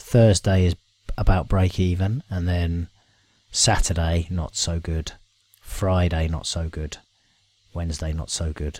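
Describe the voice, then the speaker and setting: A man with a very deep, low voice speaks at a fairly slow pace and sounds somewhat breathy. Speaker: software tool presenter. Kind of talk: screen-share tutorial. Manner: hesitant, many fillers.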